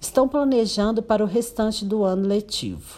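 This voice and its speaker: A woman speaks at a moderate pace with a dark, mellow tone. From Brazil, Minas Gerais (Paracatu). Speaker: educator. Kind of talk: educational presentation, partly read.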